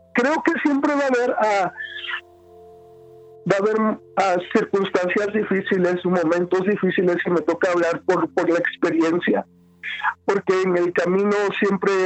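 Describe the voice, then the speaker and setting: Noticeable background noise sits behind a man with a high-pitched voice. He talks at a fairly slow pace with very even loudness. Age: 20s. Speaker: pastor. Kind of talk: interview conversation. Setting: phone call. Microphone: phone line with some interference.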